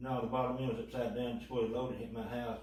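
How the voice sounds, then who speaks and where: A man with a Kentucky accent talks at a medium pitch. Noticeable background noise and audible room echo surround his voice. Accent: Kentucky twang. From western Kentucky. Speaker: tornado survivor. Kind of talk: interview testimony.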